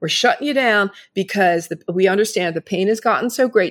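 A woman with an unremarkable speaking voice, medium pitch and ordinary pitch variation at a fairly quick pace, in a dry, close sound with no echo on a very clean recording with a silent background. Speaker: media personality, former model, guest. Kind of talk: casual interview.

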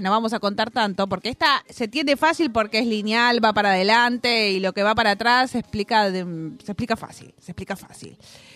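This woman has a normal speaking voice, fairly high in pitch, at a moderate pace. The sound is dry and close, with no echo. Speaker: radio host. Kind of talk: casual chat. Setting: studio.

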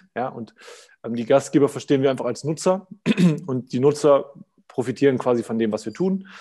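At a fairly quick pace, a man talks in a dark, mellow, medium-pitched voice with ordinary pitch variation. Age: 20s. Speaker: startup co-founder. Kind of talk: casual interview. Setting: video call.

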